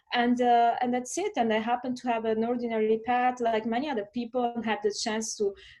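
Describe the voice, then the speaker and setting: Talking at a fairly quick pace, a woman with a fairly high pitch and an Italian accent is heard in a very clean recording with a silent background. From southern Italy. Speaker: lawyer and diplomat. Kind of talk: interview. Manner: hesitant, many fillers.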